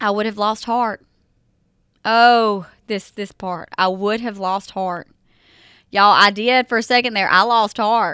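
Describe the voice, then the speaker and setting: A bright, sharp tone with a Southern US accent comes at a fairly slow pace with long, frequent pauses, in a very clean recording with a silent background. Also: woman, fairly high pitch for a woman. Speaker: podcast host. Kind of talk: faith-based podcast talk with scripture reading. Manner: animated.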